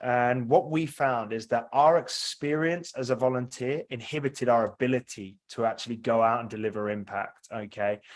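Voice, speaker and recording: A man with a British accent speaks at a medium pitch, showing ordinary pitch variation. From UK. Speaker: software company representative. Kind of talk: product demo presentation. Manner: fast.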